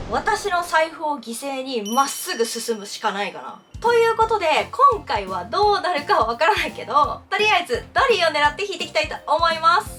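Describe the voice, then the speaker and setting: A woman's raised, projected voice at an extremely high pitch, upbeat in tone, with very wide pitch swings, big swings in loudness, a moderate pace and hardly any pauses, music in the background. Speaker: freelance announcer. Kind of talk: casual talk to camera.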